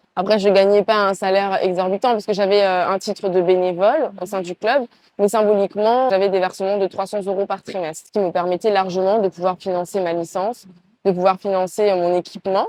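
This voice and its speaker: A woman's dark, mellow voice at medium pitch, fairly quick in pace, dry and close with no echo. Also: fairly even intonation. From Congo-Brazzaville, raised partly in France. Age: 20s. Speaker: entrepreneur. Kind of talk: interview. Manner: hesitant, many fillers.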